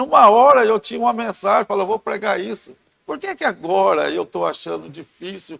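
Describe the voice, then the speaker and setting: A man talking at a fairly quick pace, with a dry, close sound and no echo. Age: 60s. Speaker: church member, lay preacher. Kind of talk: Bible study discussion.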